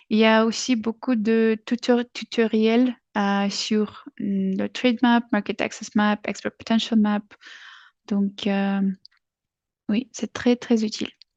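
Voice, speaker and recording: A woman with a fairly high pitch speaks at a very slow pace in a monotone, flat intonation, with long, frequent pauses. The sound is dry and close with no echo, over a quiet background. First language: not French (speaking French). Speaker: webinar presenter. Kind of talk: webinar presentation. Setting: online webinar. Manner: halting, many hesitations.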